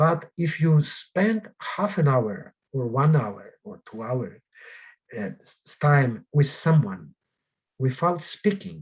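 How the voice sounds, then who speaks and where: Somewhat breathy, a man with a Polish accent speaks at a fairly high pitch with very wide pitch swings. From Poland. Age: 60s. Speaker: journalist and author. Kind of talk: interview. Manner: halting.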